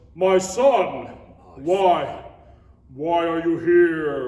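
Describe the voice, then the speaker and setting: Someone performs a put-on character voice with a slight echo. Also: man, high pitch for a man. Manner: stern, questioning.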